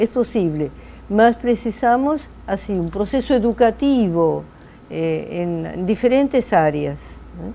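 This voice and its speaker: A woman at a very slow pace with big swings in loudness. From Argentina. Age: 80s+. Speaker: psychologist, logotherapy professor. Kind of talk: interview.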